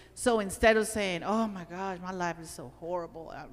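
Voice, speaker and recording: A woman with a fairly low pitch speaks at a moderate pace. Audible room echo surrounds her voice. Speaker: workshop presenter. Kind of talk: workshop talk. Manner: animated.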